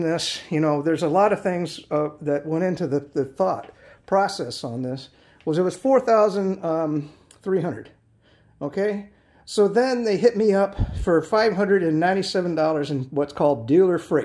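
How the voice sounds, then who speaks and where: Delivered at a moderate pace with ordinary pitch variation, the speech sits over a quiet background. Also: man. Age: 50s. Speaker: video reviewer. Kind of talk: product review. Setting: home garage. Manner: casual, rambling with fillers. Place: garage. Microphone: phone near.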